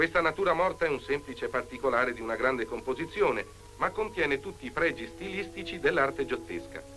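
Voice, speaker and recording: Music plays in the background as a man talks at a fairly quick pace. His intonation is lively. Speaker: actor. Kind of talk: documentary narration.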